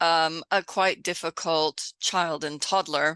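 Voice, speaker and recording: A woman with an American accent, fairly low-pitched and bright and sharp in tone, at a very slow pace with fairly even intonation, in a dry, close sound with no echo over a quiet background. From Texas. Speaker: home educator and former teacher. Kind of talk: podcast interview.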